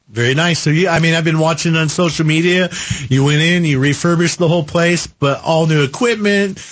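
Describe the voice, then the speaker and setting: Noticeable background noise sits behind a man talking at a fairly quick pace. His pitch is fairly high and his loudness very even. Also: ordinary pitch variation. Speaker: radio car show host. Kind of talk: call-in radio show. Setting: radio studio.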